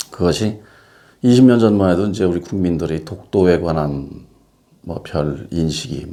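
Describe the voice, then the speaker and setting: A man talks at a very slow pace, his pitch very deep and low. His tone is dark and mellow, with ordinary pitch variation. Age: 60s. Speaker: painter. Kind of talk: casual monologue to camera. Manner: hesitant, many fillers.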